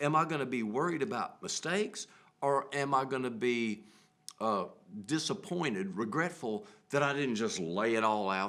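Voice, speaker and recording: Over noticeable background noise, a man with a Southern US accent speaks with very wide pitch swings. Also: medium pitch for a man, moderate pace. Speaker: musician, bandleader. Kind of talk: casual interview conversation. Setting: TV studio. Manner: chatty.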